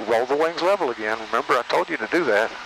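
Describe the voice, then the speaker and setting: A man's tone is bright and sharp, and he moves at a fairly quick pace. The sound is dry with no echo, over light background noise. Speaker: volunteer pilot instructor. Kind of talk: flight instruction. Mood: encouraging, patient. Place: plane. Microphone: headset.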